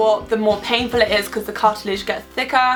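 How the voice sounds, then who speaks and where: Music plays in the background as the speaker talks with an Irish accent. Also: woman. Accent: Irish accent, self-described. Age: young. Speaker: beauty and lifestyle vlogger. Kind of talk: casual vlog chat. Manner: chatty, informal.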